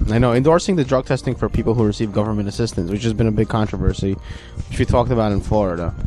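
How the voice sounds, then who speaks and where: A very fast-talking man with a fairly low pitch and ordinary pitch variation, over noticeable background noise. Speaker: comedy talk radio co-host. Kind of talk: casual chat. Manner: loud.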